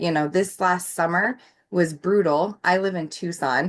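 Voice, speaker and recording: Against a quiet background, a woman with an American accent uses a normal speaking voice, fairly low in pitch, at a fairly slow pace with fairly even intonation. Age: 40s. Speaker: clean energy advocate. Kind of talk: presentation with slides.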